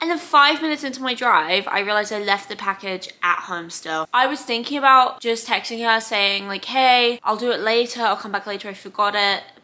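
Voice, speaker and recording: With hardly any pauses, a woman talks at a fairly quick pace in a fairly high pitch with ordinary variation, while noticeable background noise plays behind her. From South London, England. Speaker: vlogger. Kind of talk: casual storytelling vlog. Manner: animated.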